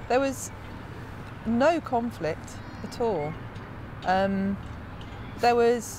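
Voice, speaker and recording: A woman speaks at a fairly high pitch. Noticeable background noise sits behind her. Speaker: creative lab participant. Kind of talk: interview reflection. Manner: hesitant.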